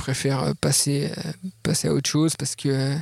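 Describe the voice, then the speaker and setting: Noticeable background noise accompanies a man whose sound is dry and close, with no echo. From France, Jura mountains. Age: 30s. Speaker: ultra-trail runner. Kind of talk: casual interview. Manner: hesitant, many repeated words.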